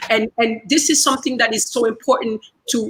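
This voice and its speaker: With a French accent, a woman speaks in a high voice at a moderate pace, using ordinary pitch variation. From Central Africa, former Belgian colony. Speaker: speaker at online community event. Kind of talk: speech. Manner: repetitive, halting with fillers.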